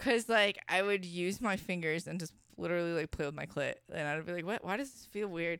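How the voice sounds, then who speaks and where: A woman with a normal speaking voice and an American accent, fairly low in pitch with ordinary variation, at a fairly quick pace with big swings in loudness, on a very clean recording over a silent background. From Washington state. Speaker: adult performer. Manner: sweet, outgoing, cheerful.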